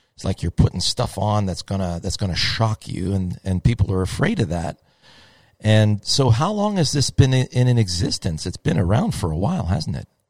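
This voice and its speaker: Over a very clean, silent background, a man with a fairly low voice speaks at a moderate pace with lively intonation, the sound dry and close with no echo. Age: 50s. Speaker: golf podcast host. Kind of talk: casual chat. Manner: animated.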